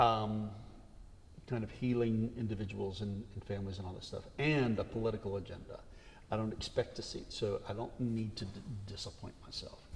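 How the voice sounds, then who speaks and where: A man's voice is heard. The room adds audible echo. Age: 60s. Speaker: retired Episcopal priest. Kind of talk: interview conversation.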